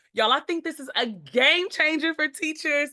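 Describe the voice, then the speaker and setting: Her voice is raised and projected, with a bright, sharp tone. The woman's intonation is lively. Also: dry, close sound with no echo. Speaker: educator sharing tech tools. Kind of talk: screen-share tutorial. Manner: enthusiastic.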